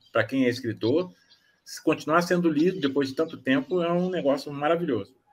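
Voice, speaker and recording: At a fairly quick pace, a man with a fairly high voice speaks with ordinary pitch variation. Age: 60s. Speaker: author. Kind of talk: casual chat. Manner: halting.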